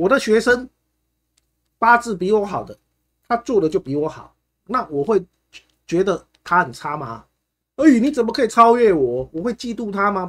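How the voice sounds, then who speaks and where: The speaker sounds animated, the pitch swinging very widely. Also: man. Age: 40s. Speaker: fortune teller. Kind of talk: livestream talk. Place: home room.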